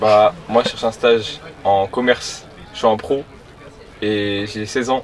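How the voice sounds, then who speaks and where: A man with a medium pitch keeps his intonation fairly even while noticeable background noise sits beneath. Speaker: passerby interviewee. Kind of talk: casual chat.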